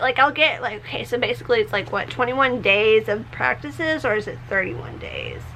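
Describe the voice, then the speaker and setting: Noticeable background noise sits behind a woman with an American accent. She speaks at a moderate pace in an animated tone. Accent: southern US accent that comes and goes. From Tennessee, Nashville. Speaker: beauty and lifestyle vlogger. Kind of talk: casual vlog monologue. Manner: animated, chatty with many fillers; halting, self-interrupting.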